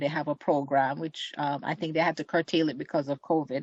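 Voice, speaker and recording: A woman with a very deep, low pitch talks at a moderate pace with fairly even intonation. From Jamaica. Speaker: community group secretary. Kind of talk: interview.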